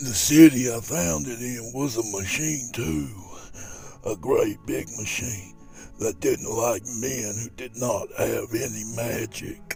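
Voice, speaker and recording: Over clear music in the background, a man of medium pitch uses a put-on character voice at a fairly slow pace. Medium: read story.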